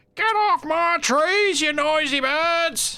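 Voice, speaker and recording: A put-on character voice speaks very slowly at an extremely high pitch. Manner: cranky, shouting.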